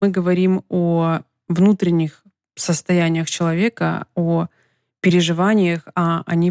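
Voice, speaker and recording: Recorded very cleanly against a silent background, with a dry, close sound and no echo, a woman speaks at a fairly low pitch in a dark, mellow tone with fairly even intonation. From Ukraine, Donetsk. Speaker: podcast host, entrepreneur. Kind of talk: solo monologue podcast.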